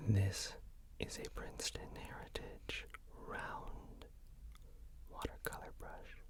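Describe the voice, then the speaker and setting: The speaker whispers at a very slow pace. There are long, frequent pauses. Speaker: ASMR artist. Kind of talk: ASMR art video. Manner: whispered, soft-spoken.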